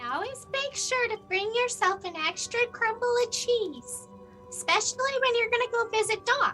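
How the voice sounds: In a put-on character voice with a bright, sharp tone, the speaker talks at a moderate pace with lively intonation while faint music plays in the background. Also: woman, extremely high pitch for a woman.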